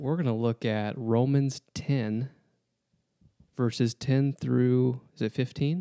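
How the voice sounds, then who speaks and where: Very slow, medium-pitched male voice with an Upper Midwest accent, dark and mellow in tone, fairly even intonation, dry and close with no echo. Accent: Upper Midwest American. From Wisconsin. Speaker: guest interviewer, Bible college staff. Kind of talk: casual Bible study discussion.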